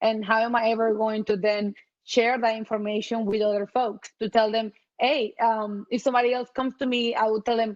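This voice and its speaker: A woman with a non-native accent talks at a fairly quick pace, with a dry, close sound and no echo. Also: quiet background. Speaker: panelist, accessibility design lead. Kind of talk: panel discussion. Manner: halting, many repetitions.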